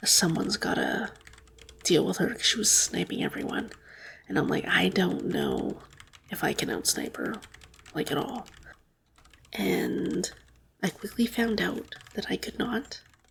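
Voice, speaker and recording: Soft-spoken and fairly slow, the speaker leaves long, frequent pauses over noticeable background noise. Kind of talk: ASMR gaming ramble.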